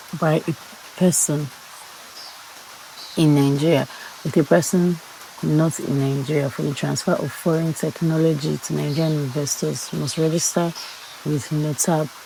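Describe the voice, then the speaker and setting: At a moderate pace and in a calm tone, the speaker leaves long, frequent pauses over noticeable background noise. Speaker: law student. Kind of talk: study read-aloud of law notes.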